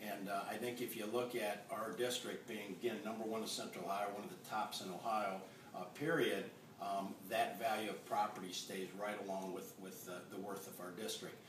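Fairly low in pitch, a man talks with fairly even intonation. Noticeable background noise runs underneath. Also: moderate pace. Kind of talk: interview answer. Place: kitchen. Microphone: camera far.

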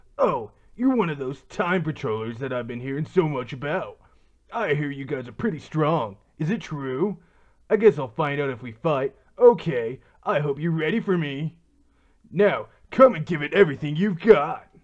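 A man puts on a character voice with a smug tone, speaking at a moderate pace in a fairly high pitch. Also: quiet background. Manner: cocky, smug.

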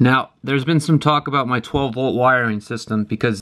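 A man's fairly even intonation over light background noise. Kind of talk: casual vlog tutorial. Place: bus. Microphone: phone near.

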